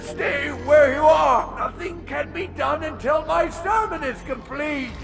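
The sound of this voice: In a put-on character voice, a man talks extremely high with vocal fry, ordinary pitch variation and a fairly slow pace. Clear music plays in the background.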